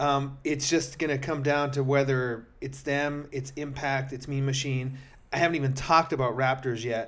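A man speaks in a monotone, flat intonation. The room echo is audible. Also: fairly high pitch for a man, moderate pace. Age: 40s. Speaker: podcast host and amateur flag football player. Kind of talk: casual sports talk.

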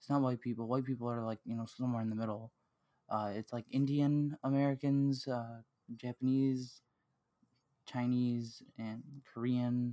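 A man's dark, mellow voice in monotone, flat intonation with long, frequent pauses, in a dry, close sound with no echo. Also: medium pitch for a man, moderate pace, very clean recording, silent background. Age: 20s. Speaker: podcast host. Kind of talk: casual chat.

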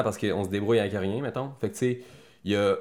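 A man's fairly low voice at a fairly quick pace, with fairly even intonation. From Quebec City. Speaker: actor and army veteran. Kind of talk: casual interview.

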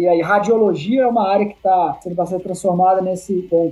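The speaker is a man. His pace is fairly quick. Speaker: podcast host. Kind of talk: interview.

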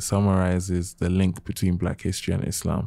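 In a London accent, a man speaks with a very deep, low pitch and a dark, mellow tone on a very clean recording with a silent background. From London, England. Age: 20s. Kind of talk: casual chat.

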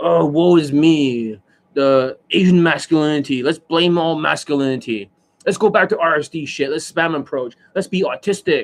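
Whiny and middle-pitched, a put-on character voice moves at a moderate pace with a whiny tone. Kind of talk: sarcastic. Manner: mocking, whiny.

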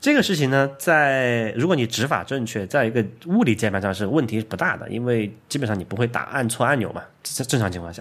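A man speaks at medium pitch with a slight Sichuan accent. His delivery is fairly quick, with lively intonation. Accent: slight Sichuan-accented Mandarin. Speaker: programmer and tech podcast host. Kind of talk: casual chat.

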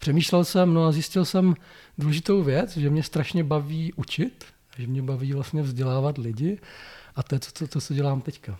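Dark and mellow in tone and somewhat breathy, the voice keeps a moderate pace on a very clean recording with a silent background. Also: man, fairly high pitch for a man, ordinary pitch variation. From Czechia, Blansko (South Moravia). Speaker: software testing trainer and consultant. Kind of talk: interview. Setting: in person.

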